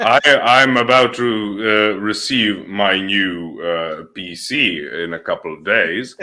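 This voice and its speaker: A man with a non-native accent and fairly low pitch, ordinary pitch variation, big swings in loudness, a very slow pace and hardly any pauses. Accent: formal academic English, non-native. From Serbia. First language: Serbian. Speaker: guest, debater. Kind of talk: casual chat. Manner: formal; halting.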